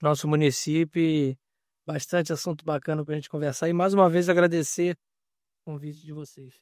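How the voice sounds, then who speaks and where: A man's fairly high, fairly quick voice, monotone and flat, with big swings in loudness, on a very clean recording with a silent background and dry, close sound with no echo. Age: 30s. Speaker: municipal government secretary. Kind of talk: podcast interview.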